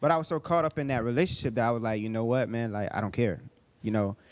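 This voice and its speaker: Medium pitch from a man, varying by ordinary amounts. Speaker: minister. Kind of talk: casual chat. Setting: livestream. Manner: fast.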